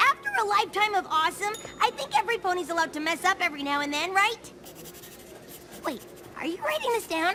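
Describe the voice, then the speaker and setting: A cartoonish character voice that sounds female comes out at an extremely high pitch and a very fast pace. Long, frequent pauses break it up over clear background noise. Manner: brash, casual.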